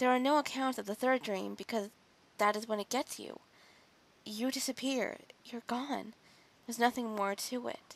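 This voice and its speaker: Long, frequent pauses from a woman at a moderate pace with fairly even intonation, in a dry, close sound with no echo. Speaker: creepypasta narrator. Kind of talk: horror story narration.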